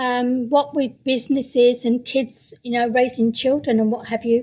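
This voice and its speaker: With a British accent, a woman speaks at a moderate pace in a high voice that has a dark, mellow tone and monotone, flat intonation. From UK. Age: 60s. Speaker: sound healer. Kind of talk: interview. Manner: hesitant, many fillers.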